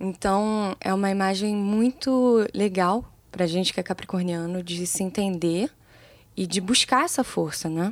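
On a very clean recording with a silent background, a woman speaks fairly slowly at a medium pitch with ordinary pitch variation in an unremarkable speaking voice. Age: 20s. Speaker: music producer, songwriter and singer. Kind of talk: casual interview.

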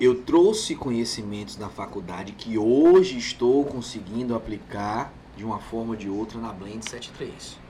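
A plain, everyday voice belongs to a man speaking at medium pitch with ordinary pitch variation. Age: 30s. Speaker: burger restaurant owner. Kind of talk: casual chat.

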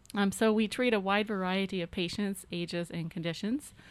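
A woman speaks in a normal speaking voice with an American accent. Her pace is moderate and her pitch variation ordinary. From US South, Arkansas (Fort Smith, Ozarks). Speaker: neurosurgeon. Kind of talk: radio interview. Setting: radio studio.

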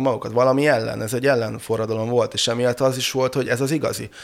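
A man talks very fast. His voice sits at a medium pitch. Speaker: brewer and pub owner. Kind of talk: casual chat. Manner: halting.

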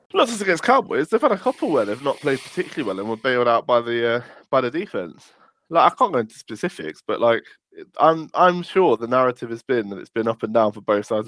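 Very fast and in an English accent, a man talks at medium pitch with very wide pitch swings and big swings in loudness, in a dry, close sound with no echo. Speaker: podcast host. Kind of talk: casual chat.

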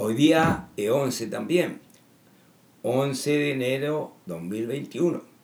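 A man at a very slow pace and fairly high pitch. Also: lively intonation. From Chile. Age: 70s. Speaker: political commentator. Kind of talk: monologue. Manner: halting.

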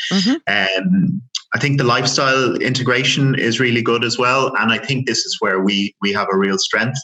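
A man with a Dublin accent speaks at a moderate pace and a medium pitch. His intonation is lively while his loudness stays very even. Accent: Irish (Dublin). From Ireland, Dublin. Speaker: airline loyalty manager. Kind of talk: interview. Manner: halting, many repetitions.

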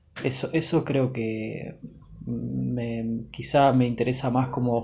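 Speaking with an Argentine accent, a man keeps his intonation flat and monotone. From Buenos Aires, Argentina. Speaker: podcaster. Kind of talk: personal monologue. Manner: halting, many repetitions and fillers.

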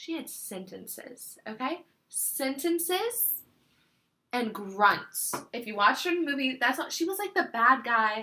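At a fairly slow pace, a woman uses a raised, projected voice that is high-pitched with a bright, sharp tone, very wide pitch swings and big swings in loudness. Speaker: podcast host. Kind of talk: casual chat.

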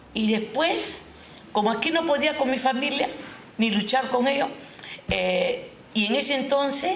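Speaking at a fairly slow pace, a woman with a high pitch varies her tone in an ordinary way amid noticeable background noise and audible room echo. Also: long, frequent pauses, very even loudness. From Peru (Huaral, Callao), Japanese-Peruvian family. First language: Japanese (speaking Spanish). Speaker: retired schoolteacher. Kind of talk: interview. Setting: live stream.

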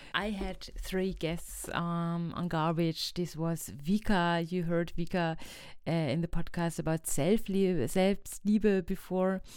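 On a very clean recording with a silent background, a woman speaks with a German accent at a very slow pace, her fairly low pitch kept in fairly even intonation. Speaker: podcast host. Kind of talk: podcast intro and outro. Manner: hesitant, many fillers.

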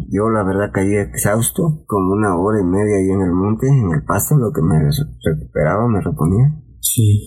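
Over music in the background, a man with a fairly low pitch moves at a moderate pace with hardly any pauses and very wide pitch swings. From Mexico, Veracruz port. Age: 40s. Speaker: security guard and former migrant. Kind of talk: personal testimony in interview.

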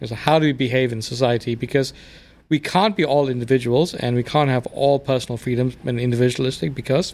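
A man speaks with a South African accent. His pitch is medium and his pace fairly quick. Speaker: immigrant guest. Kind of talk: casual chat. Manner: fast.

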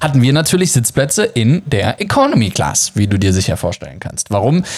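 Noticeable background noise is present throughout. Over it, a man talks. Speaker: travel podcast host and online course seller. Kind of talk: promotional monologue. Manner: many filler hesitations.

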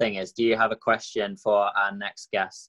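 A man speaks in a flat monotone with an English accent, at a moderate pace. The sound is dry and close, with no echo. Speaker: podcast host. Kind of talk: interview. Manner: casual.

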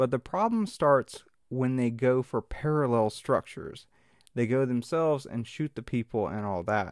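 Dry and close with no echo, a man with a Mississippi accent speaks with ordinary pitch variation. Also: medium pitch for a man, moderate pace. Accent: Southern US (Mississippi). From US South, Mississippi Delta. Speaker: podcast host. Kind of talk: solo commentary podcast. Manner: casual, with many fillers and restarts.

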